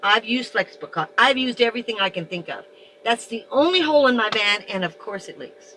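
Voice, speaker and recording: A woman talks at a very fast pace with lively intonation, and noticeable background noise is present. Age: 70s. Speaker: van dweller. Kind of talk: casual chat.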